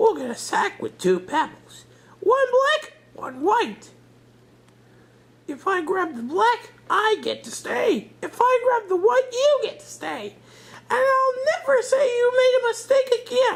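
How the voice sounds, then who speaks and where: Squeaky and extremely high-pitched, a put-on character voice speaks at a fairly slow pace. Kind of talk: bedtime story. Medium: read story.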